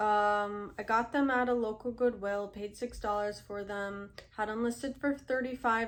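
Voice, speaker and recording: On a very clean recording with a silent background, a woman speaks at a fairly high pitch and moderate pace in a monotone, flat way. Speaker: reseller vlogger. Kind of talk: casual tutorial vlog. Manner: conversational, with fillers.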